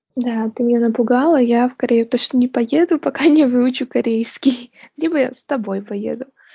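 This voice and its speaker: A woman with a high pitch and ordinary pitch variation speaks at a moderate pace, her loudness swinging widely. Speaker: podcast host. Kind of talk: casual interview chat.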